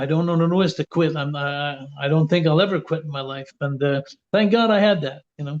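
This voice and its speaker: At a fairly quick pace, a man with a Quebec accent speaks at a fairly high pitch and with ordinary pitch variation. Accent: Québécois French accent in English. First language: French. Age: 60s. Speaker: retired pro wrestler. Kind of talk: interview. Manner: animated.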